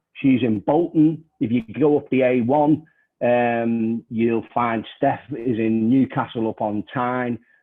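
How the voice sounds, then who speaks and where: In a Liverpool accent, a man speaks at a fairly slow pace. His medium-pitched voice keeps fairly even intonation. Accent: Scouse. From northern England, Liverpool. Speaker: trade union education manager, session chair. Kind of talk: online panel moderation; presentation. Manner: hesitant, many fillers.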